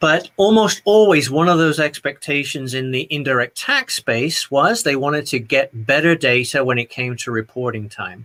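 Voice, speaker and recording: Fairly high and bright with a sharp tone, this man's voice moves with lively intonation at a moderate pace. He hardly pauses, and the sound is dry and close with no echo. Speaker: tax technology consultant. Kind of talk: conference presentation.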